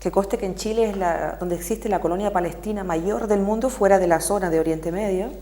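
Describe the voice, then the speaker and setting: A woman speaks with a Canarian accent at a very fast pace, with hardly any pauses. Her medium pitch shows ordinary variation over noticeable background noise. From Canary Islands. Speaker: activist. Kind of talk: TV interview.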